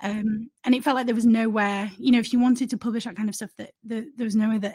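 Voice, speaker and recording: With a Yorkshire accent, the somewhat breathy voice moves at a very fast pace with fairly even intonation, the sound dry and close with no echo. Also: woman. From northern England, Leeds. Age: 30s. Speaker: journalist and news website founder. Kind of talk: interview. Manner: hesitant, many fillers and repetitions.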